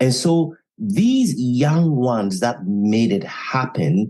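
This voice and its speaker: A man's medium-pitched, dark, mellow voice with very wide pitch swings. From Ghana. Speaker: author and former radio journalist. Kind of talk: podcast interview.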